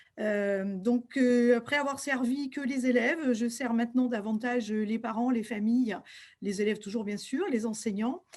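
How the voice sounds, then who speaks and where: A woman talks at a moderate pace in a fairly high pitch with ordinary pitch variation. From western France, Deux-Sèvres. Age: 60s. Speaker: school principal and local candidate. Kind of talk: self-presentation. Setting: video call from her office. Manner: hesitant, frequent fillers.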